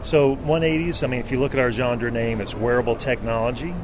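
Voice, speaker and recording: Amid audible room echo and noticeable background noise, a man with a Southern US accent talks at a medium pitch. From US South, North Carolina. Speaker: company representative. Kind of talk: product pitch. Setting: trade show floor.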